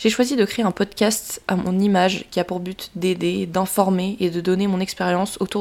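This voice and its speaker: A woman with a plain, everyday voice speaks at medium pitch and a moderate pace with fairly even intonation. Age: 20s. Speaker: podcast host, social media influencer and student. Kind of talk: solo podcast monologue, partly scripted. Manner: warm, informal.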